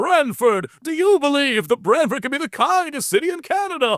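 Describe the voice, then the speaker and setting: Using a put-on character voice, a man pushes his pitch extremely high. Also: moderate pace. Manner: big, goofy, cheering.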